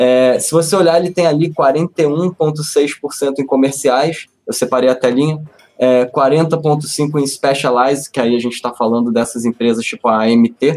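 A man speaks in a normal speaking voice at a fairly slow pace. His pitch varies in an ordinary way. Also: fairly high pitch for a man. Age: 30s. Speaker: investment analyst. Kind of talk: finance webinar.

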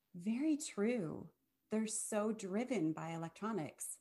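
Lively intonation in a woman's somewhat breathy voice. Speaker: podcast host. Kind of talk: casual interview.

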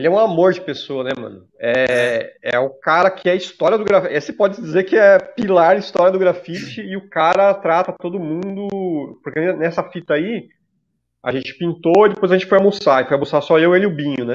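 Using a São Paulo accent, a man with a high pitch talks at a moderate pace and ordinary pitch variation. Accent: Paulistano Brazilian Portuguese. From São Paulo, Zona Leste. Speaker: podcast co-host, graffiti artist. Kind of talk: casual chat.

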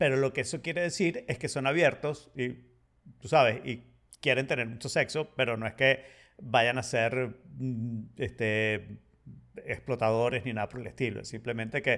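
The speaker uses ordinary pitch variation and takes long, frequent pauses in a very clean recording with a silent background. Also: man, medium pitch for a man, moderate pace. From Venezuela, partly raised in Spain. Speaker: podcast co-host. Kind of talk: casual chat.

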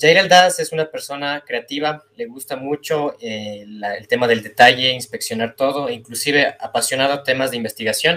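A man's fairly high, bright, sharp voice with lively intonation and big swings in loudness, at a moderate pace with hardly any pauses. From Ecuador, Quito. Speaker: industrial engineer, data analyst. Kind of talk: casual interview.

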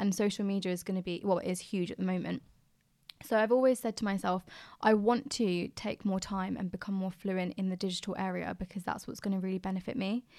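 A woman speaks at a very fast pace in a medium pitch, her tone dark and mellow. Her intonation is fairly even, on a very clean recording with a silent background. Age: 20s. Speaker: recent architecture graduate. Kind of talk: casual chat.

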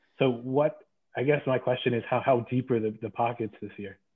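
A man talks at a fairly quick pace with a normal speaking voice. His pitch is medium and his intonation fairly even. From Pennsylvania. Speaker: podcast co-host, lawyer. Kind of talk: casual chat.

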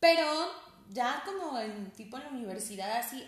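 Over audible room echo, a woman speaks at a high pitch. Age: 30s. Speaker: pastor's daughter and psychologist. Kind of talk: casual chat.

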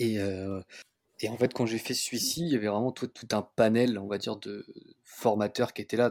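A man's fairly low voice is heard in a very clean recording with a silent background. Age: 30s. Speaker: real estate investor and car workshop deputy manager. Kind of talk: casual interview. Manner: halting, many fillers.

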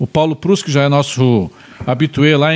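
At a moderate pace, a man speaks in a plain, everyday voice at a fairly high pitch. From Pelotas, Rio Grande do Sul, Brazil. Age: 50s. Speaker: talk show host. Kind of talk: casual interview chat.

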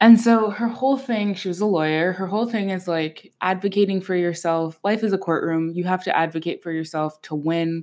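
An animated woman's voice of medium pitch, fairly quick in pace, with ordinary pitch variation. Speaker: podcast host. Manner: animated, chatty.

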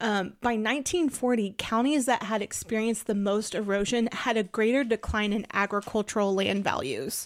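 With an American accent, a woman in a normal speaking voice talks at a moderate pace, her pitch fairly high with ordinary variation. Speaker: podcast host. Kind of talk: casual chat.

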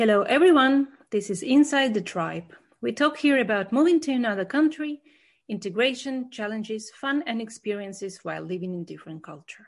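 Here a woman speaks at a moderate pace in a fairly high, somewhat breathy voice. Her intonation is lively, and the background is quiet. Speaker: podcast host. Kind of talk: casual interview chat.

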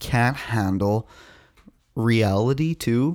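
With a Canadian accent, a man speaks at a medium pitch with lively intonation. The recording is very clean, the background silent. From Canada. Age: 30s. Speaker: podcast co-host. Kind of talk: casual chat.

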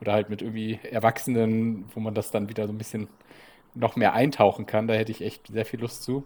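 Speaking at a fairly quick pace, a man keeps a medium pitch and a monotone, flat intonation. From Bremen, northern Germany. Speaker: podcast co-host, expat father. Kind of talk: casual chat.

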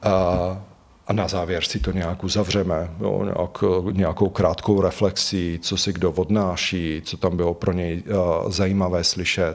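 This man's pitch is very deep and low, and his intonation is monotone and flat. He speaks at a fairly slow pace. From Slovakia. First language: Slovak (speaking Czech). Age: 40s. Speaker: psychotherapist. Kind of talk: interview.

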